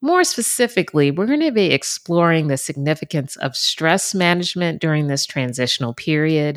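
A woman's fairly low, unremarkable speaking voice at a fairly quick pace with hardly any pauses, on a very clean recording with a silent background. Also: lively intonation. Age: 50s. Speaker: wellness podcast host. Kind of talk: solo podcast monologue. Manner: conversational.

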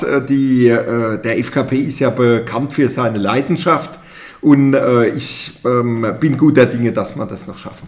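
A man with a plain, everyday voice talks at a fairly slow pace. His pitch varies in an ordinary way, and his loudness swings widely. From Palatinate, Germany (Pirmasens). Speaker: mayor. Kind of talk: interview. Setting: studio.

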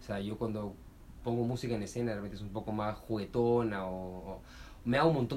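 With audible room echo around him, a man speaks at a fairly quick pace, his fairly low pitch kept to a fairly even intonation. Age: 30s. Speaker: comedian. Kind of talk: interview.

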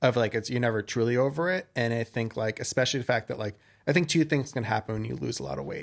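A man with an American accent uses a normal speaking voice and lively intonation. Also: medium pitch for a man. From New York, Westchester suburbs. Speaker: food content creator, former TV producer. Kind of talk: casual interview chat.

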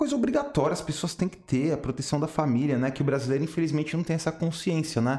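This man's voice has a dark, mellow tone and is somewhat breathy. His pitch varies in an ordinary way. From São Paulo, Brazil. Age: 30s. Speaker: former banker, independent financial agent. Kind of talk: casual interview chat.

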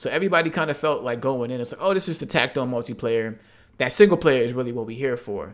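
On a very clean recording with a silent background, a man at a medium pitch talks at a very fast pace with big swings in loudness. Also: lively intonation. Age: 20s. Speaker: gamer and YouTube content creator. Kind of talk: casual chat.

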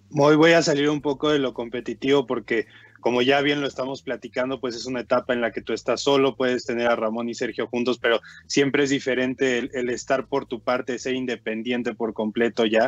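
The man's medium-pitched voice has monotone, flat intonation and a dry, close sound with no echo. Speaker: basketball commentator. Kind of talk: sports talk show. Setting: remote connection.

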